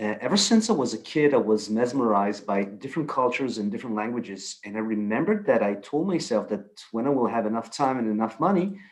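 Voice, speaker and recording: The speech has lively intonation. It goes at a very fast pace. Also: man, medium pitch for a man. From Israel. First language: Hebrew. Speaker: photographer and storyteller. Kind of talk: presentation talk.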